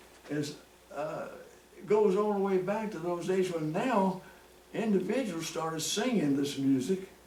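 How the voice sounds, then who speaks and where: With noticeable background noise and audible room echo, a man with a high pitch talks at a fairly slow pace, using ordinary pitch variation and long, frequent pauses. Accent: American. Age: 90s. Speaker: country musician and show host. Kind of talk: casual chat. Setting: at home.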